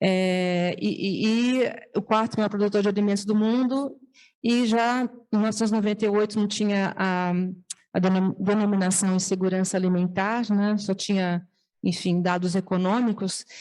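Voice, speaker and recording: Her voice, a woman's at medium pitch, keeps a fairly even intonation. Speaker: nonprofit founder. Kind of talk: testimony. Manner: fast; hesitant, many fillers and restarts.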